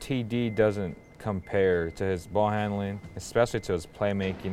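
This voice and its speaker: This man has a fairly low pitch and ordinary pitch variation. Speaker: sports podcast host. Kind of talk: sports talk show recap. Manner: animated, opinionated.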